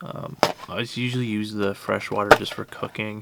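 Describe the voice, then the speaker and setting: A soft-spoken man talks with a fairly low pitch in a monotone, flat way. Noticeable background noise can be heard. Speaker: van-dwelling travel vlogger. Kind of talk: casual vlog talk. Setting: inside a van. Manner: hesitant, many fillers; soft-spoken, quiet.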